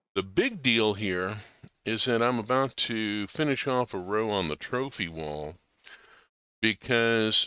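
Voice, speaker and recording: A man speaks very slowly at a medium pitch, his tone bright and sharp and his intonation lively. The recording is very clean with a silent background. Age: 60s. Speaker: gaming streamer. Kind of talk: casual live stream commentary. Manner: halting, with repeated words and fillers.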